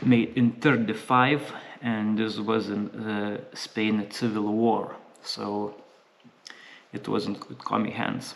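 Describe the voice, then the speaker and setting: A man speaks at a very slow pace, with a fairly low pitch. His intonation is monotone and flat, and long pauses come often. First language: not English (English is third language). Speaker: gun reviewer. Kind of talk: product review. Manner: halting, many fillers.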